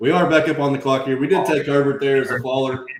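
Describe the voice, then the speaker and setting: A man talks at a fairly quick pace with a fairly high pitch. His voice has vocal fry. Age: 30s. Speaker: fantasy football stream host. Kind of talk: casual chat. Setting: live stream.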